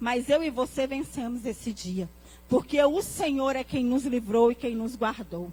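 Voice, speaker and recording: Fairly slow, lively-toned speech from a woman with a high voice. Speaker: pastor. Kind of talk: sermon.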